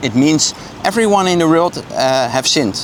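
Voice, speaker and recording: A man with a Dutch accent at a fairly quick pace, with noticeable background noise. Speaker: street evangelist. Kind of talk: street evangelism conversation. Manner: hesitant, many fillers.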